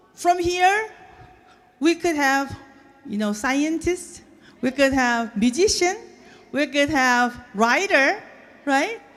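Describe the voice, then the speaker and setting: A woman with a Korean accent speaks at a high pitch with lively intonation. Her pace is very slow, with long, frequent pauses. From South Korea, moved to US as a child. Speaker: violinist. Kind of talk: speech to an audience. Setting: stage with audience. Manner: halting.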